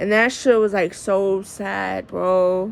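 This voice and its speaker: Soft-spoken and very slow, a woman with a medium pitch speaks with an American accent. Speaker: vlogger. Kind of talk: casual monologue vlog. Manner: naturally soft-spoken; projecting voice, upbeat.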